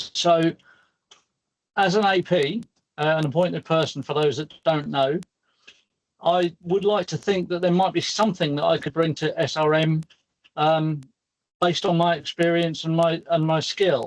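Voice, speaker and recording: A man with a British accent, high-pitched and fairly even in intonation, at a moderate pace with long, frequent pauses, in a dry, close sound with no echo. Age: 60s. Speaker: crane operator and lifting specialist. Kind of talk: virtual career panel talk. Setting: video call from work.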